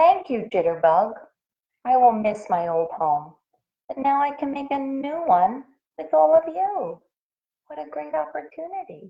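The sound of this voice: Putting on a character voice, a woman speaks at a high pitch with vocal fry and big pitch swings. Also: fairly slow pace.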